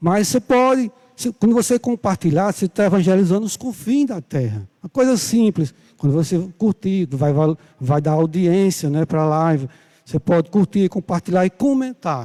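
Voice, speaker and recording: A man talks at a high pitch with a dark, mellow tone. His intonation is lively, and the sound is dry and close with no echo. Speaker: Bible school teacher. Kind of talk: sermon. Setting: church livestream. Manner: soft-spoken; slow.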